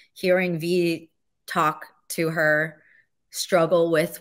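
A woman's fairly low, bright and sharp voice at a very slow pace, with ordinary pitch variation over a quiet background. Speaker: voice actor. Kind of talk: interview answer. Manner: emotional, enthusiastic. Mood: emotional, tearful, laughing. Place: home room. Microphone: studio mic.

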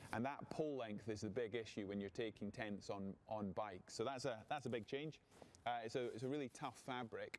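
A man's voice with fairly even intonation and light background noise. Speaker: presenter. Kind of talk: product demonstration. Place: hall.

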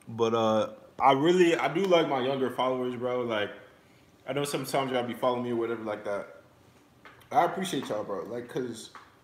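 A man's very fast speech with ordinary pitch variation and audible room echo. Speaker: livestreamer. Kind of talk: casual livestream chat. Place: kitchen. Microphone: phone near.

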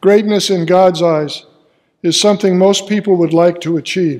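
Against a quiet background, a man with a high voice speaks fairly slowly with ordinary pitch variation. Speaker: pastor. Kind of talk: sermon. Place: church.

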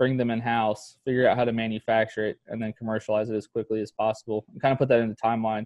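A man talks at a very fast pace with hardly any pauses, his intonation monotone and flat. The sound is dry with no echo, and the background is quiet. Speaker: startup founder and army veteran. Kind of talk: interview. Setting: call. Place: home room. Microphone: video call.

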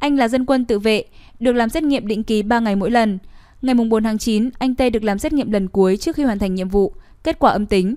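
A woman with a fairly high pitch and a dark, mellow tone talks at a very fast pace. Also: ordinary pitch variation. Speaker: news reader. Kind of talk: news reading. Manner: formal.

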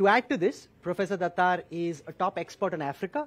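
At a fairly quick pace, a man talks in a high voice. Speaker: event host, interviewer. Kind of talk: speaker introduction. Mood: warm, admiring, light laughs. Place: hall. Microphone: headset.

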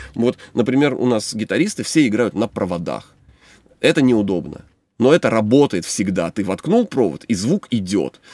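Lively intonation marks a man's dark, mellow tone over a quiet background. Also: medium pitch for a man, dry sound with no echo. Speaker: songwriter and band musician. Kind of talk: casual chat. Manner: fast. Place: studio.

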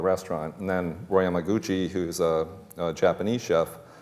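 With a Boston accent, a man talks at a moderate pace. His pitch sits very deep and low. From grew up near Boston, Massachusetts. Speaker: chef and restaurant owner on a panel. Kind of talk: panel discussion anecdote. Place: stage.

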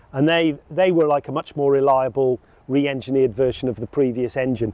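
A man talking at a fairly quick pace, ordinary pitch variation, dry sound with no echo. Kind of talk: interview answer. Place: waterside.

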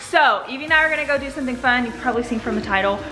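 Noticeable background noise fills the clip. The female speaker goes at a very fast pace. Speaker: family vlogger. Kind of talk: casual vlog chat. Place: kitchen. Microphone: phone near.

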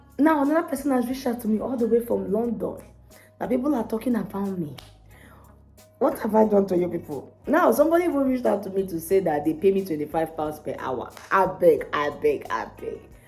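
Someone speaks at a fairly quick pace over faint music in the background. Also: woman. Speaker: care worker vlogger. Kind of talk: casual vlog chat. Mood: animated, laughing, exasperated. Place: office. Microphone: phone near.

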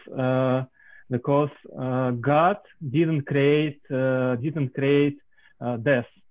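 Noticeable background noise behind a man with a medium pitch and fairly even intonation. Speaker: scientist. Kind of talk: audience question. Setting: video call. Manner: halting.

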